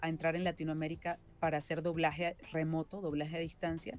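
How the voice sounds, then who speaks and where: Faint music plays behind a woman who talks at a fairly quick pace in a fairly low voice. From Venezuela. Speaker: voice actress and singer-songwriter. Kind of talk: interview answer. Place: home room.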